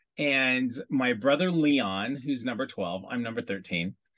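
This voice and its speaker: A man with a normal speaking voice, medium pitch and lively intonation. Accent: American. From US Midwest, Iowa. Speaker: celebrity hairstylist. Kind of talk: casual chat.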